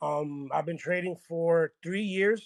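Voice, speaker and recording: Here a man talks at a high pitch with an American accent. The sound is dry and close, with no echo. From New York. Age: 30s. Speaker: trader. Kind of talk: casual chat. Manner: halting.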